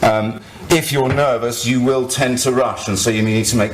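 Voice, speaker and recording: Audible room echo and noticeable background noise surround the voice. The speaker is a man. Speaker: activist and blogger giving a talk. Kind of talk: conference talk. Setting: stage with audience.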